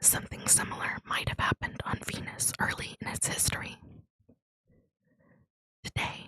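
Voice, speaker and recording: Whispering in a soothing tone at a moderate pace, broken by long, frequent pauses. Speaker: ASMR content creator. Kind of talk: educational narration reading space facts. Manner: whispered, soothing.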